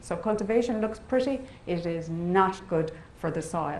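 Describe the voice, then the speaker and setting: A woman speaks with an Irish accent. Audible room echo surrounds her voice. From Ireland, west coast. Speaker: biotechnology professor. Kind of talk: lecture.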